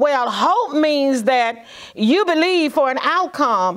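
A woman speaks in a high pitch against a quiet background. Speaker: minister. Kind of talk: sermon. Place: studio.

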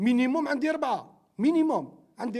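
Ordinary in pitch variation, a man talks fairly quickly against a quiet background. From Algeria. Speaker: football coach. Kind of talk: post-match interview. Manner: halting, with frequent repetitions. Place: meeting room. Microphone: handheld.

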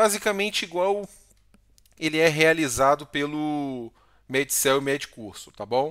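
A man's lively intonation at a fairly slow pace, with long, frequent pauses against a quiet background. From Brazil. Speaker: Brazilian doctor and YouTuber. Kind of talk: tutorial. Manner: casual, frequent filler words. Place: home room. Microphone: headset.

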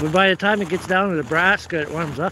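Faint background noise sits behind a man talking at a fast pace. His pitch is high and his tone bright and sharp. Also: ordinary pitch variation.

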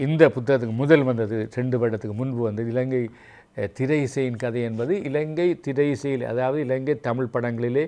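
A man's dark, mellow tone at a medium pitch with fairly even intonation. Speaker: veteran radio broadcaster and writer. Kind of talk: interview.

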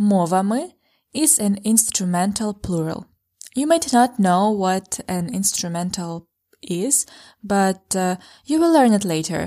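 A woman at medium pitch with lively intonation and a very slow pace, in a very clean recording with a silent background. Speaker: language teacher. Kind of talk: language lesson.

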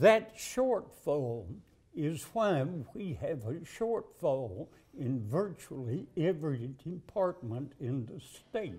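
A man with a Southern US accent, fairly high in pitch, somewhat breathy with a dark, mellow tone, very wide pitch swings and a very slow pace. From Alabama. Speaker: political candidate. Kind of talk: interview. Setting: studio couch interview. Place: studio. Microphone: lapel.

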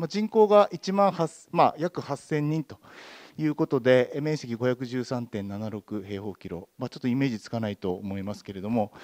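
Against a quiet background, a man talks at a moderate pace. His medium pitch swings very widely. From Obihiro, Hokkaido, Japan; Hokkaido, Japan. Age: 50s. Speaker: town mayor. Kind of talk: panel discussion. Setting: stage with audience. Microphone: handheld.

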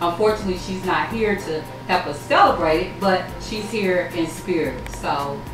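The speaking moves at a moderate pace, with audible room echo. Clear music plays in the background. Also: woman. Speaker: cooking show host. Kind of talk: interview answer. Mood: warm, reflective about family. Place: kitchen.

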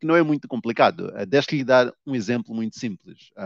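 Against a quiet background, a man speaks at a moderate pace. His pitch variation is ordinary, and the sound is dry with no echo. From Mozambique. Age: 30s. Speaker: novelist; guest. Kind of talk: interview. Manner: hesitant, many filler sounds. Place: office. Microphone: headset.

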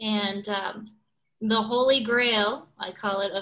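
Against a quiet background, a woman speaks at a very slow pace in a medium pitch with a bright, sharp tone. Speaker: birding guide; presenter. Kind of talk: slide presentation. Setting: video call. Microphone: video call.

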